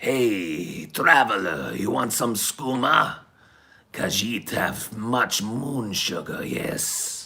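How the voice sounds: In a put-on character voice, a man speaks very slowly with a raspy, medium-pitched sound.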